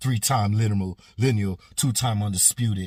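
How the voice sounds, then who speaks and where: A man speaks with lively intonation and an animated tone. His fairly low voice is somewhat breathy. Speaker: boxing commentator vlogger. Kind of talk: casual rant. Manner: animated, repetitive; stuttering.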